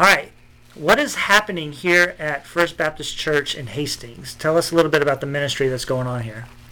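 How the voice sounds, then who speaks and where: Noticeable background noise is heard as a man talks at a fairly quick pace. His voice is fairly high, with ordinary pitch variation. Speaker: podcast host. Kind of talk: interview, conversational.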